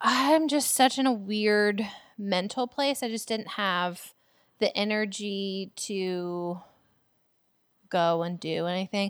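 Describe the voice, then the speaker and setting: A woman with an unremarkable speaking voice talks at a fairly high pitch with ordinary pitch variation on a very clean recording with a silent background. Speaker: podcast co-host, business marketer. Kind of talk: casual chat.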